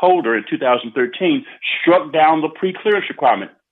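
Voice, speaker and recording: Here a man talks with a Southern US accent. His intonation is lively. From US South, Arkansas. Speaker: retired judge. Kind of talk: radio interview.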